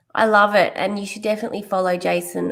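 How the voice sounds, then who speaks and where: A woman of medium pitch talks at a fairly quick pace. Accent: Australian. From Australia. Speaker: podcast host. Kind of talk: podcast interview.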